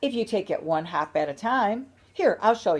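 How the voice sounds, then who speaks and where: A female-sounding, croaky put-on character voice moves at a moderate pace in a fairly high pitch. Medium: read story. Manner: cheerful, croaking.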